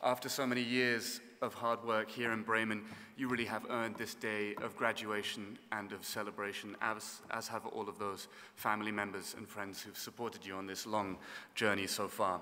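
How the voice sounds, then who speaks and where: In a southern English accent, a man speaks at a moderate pace with a fairly low pitch and monotone, flat intonation. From southern England. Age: 30s. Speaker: orchestra conductor. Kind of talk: keynote speech. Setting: graduation ceremony with audience. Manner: formal.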